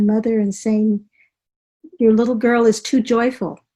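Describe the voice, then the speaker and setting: Her voice is fairly high and somewhat breathy with a dark, mellow tone, and this woman keeps to a moderate pace. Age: 70s. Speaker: author and healer, former stunt driver. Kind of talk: interview.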